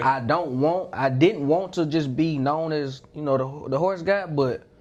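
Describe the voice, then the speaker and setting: A man speaks in a Southern US accent at a fairly slow pace. His pitch is fairly high, with ordinary variation. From Mississippi, USA. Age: 20s. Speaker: YouTuber, content creator. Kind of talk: interview answer.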